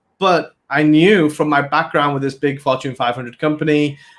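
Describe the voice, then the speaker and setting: A man speaks with an English accent. His pitch sits fairly high. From England. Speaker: business consultant. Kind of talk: podcast interview.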